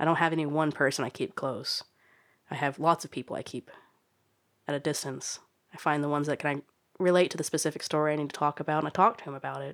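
A woman with an American accent and a very deep, low pitch, going at a very fast pace with long, frequent pauses and fairly even intonation, on a very clean recording with a silent background. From Oklahoma. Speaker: motorcycle traveler. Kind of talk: personal life story monologue.

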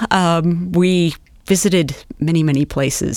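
The speaker is a woman with an American accent. Her pitch is fairly low and her intonation fairly even. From US Midwest, eastern Nebraska. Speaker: historian and beer researcher. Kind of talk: casual interview.

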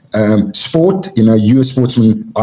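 Over noticeable background noise, a man speaks in a South African accent at a medium pitch. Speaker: MMA official. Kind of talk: casual interview.

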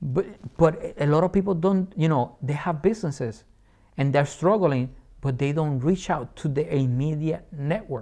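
With a Puerto Rican accent, a man speaks in an animated tone at a moderate pace. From Puerto Rico. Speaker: entrepreneur and Air Force veteran. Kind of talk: interview conversation. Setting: studio.

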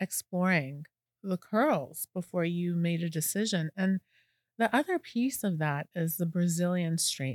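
A woman's fairly low-pitched, ordinary speaking voice with lively intonation, recorded very cleanly against a silent background, the sound dry and close with no echo. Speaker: salon owner and podcast host. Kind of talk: casual interview chat.

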